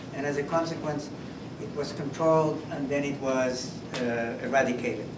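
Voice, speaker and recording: The man's fairly high voice moves at a moderate pace with fairly even intonation, amid audible room echo and noticeable background noise. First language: not English. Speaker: keynote speaker, infectious disease scientist. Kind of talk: lecture. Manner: halting, frequent fillers and restarts.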